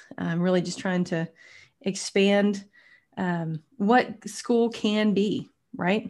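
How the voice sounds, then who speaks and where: A woman's plain, everyday voice at medium pitch with an American accent, ordinary pitch variation, and a very clean recording with a silent background. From Texas (Tyler, East Texas). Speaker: podcast host. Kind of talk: interview.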